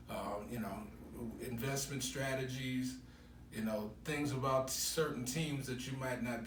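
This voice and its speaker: There is noticeable background noise and audible room echo as a man speaks at medium pitch. His delivery is fairly slow, with fairly even intonation. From Chicago, US Midwest. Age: 60s. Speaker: sports radio host. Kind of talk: interview. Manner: halting, many fillers.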